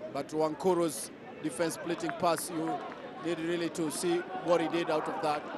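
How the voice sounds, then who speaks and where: Through noticeable background noise comes a man's high-pitched voice with monotone, flat intonation. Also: moderate pace. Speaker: football commentator. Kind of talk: live football commentary, over match highlights. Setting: voice-over on match highlights.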